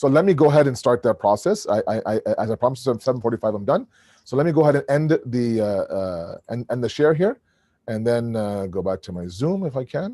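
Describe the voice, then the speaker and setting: Against a quiet background, a man speaks in a dark, mellow tone at a medium pitch. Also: fairly quick pace, dry, close sound with no echo. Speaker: Islamic lecturer. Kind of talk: lecture with Q&A. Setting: video call. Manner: animated; stammering repetitions.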